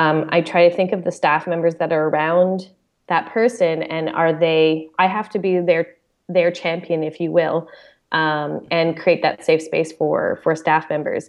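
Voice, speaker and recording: A woman's fairly low, plain, everyday voice at a moderate pace with fairly even intonation. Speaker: camp director. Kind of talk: casual chat.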